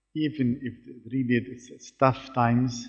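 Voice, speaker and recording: The pace of this man's speech is fairly slow. His pitch is medium. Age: 60s. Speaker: business executive. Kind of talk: panel discussion. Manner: halting.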